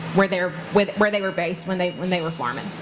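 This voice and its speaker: The speaker has a Southern US accent. Noticeable background noise runs underneath. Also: woman. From North Carolina. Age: 20s. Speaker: farmer. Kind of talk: public talk.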